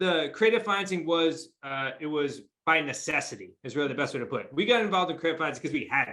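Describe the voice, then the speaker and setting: A man's fairly high-pitched, bright, sharp voice with an American accent, very fast and with hardly any pauses. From New England. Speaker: real estate investor. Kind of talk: interview.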